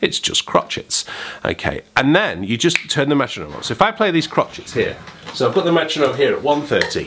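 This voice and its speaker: The man speaks at a fairly quick pace. He has an English accent. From England. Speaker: saxophone teacher. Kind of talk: tutorial; casual vlog.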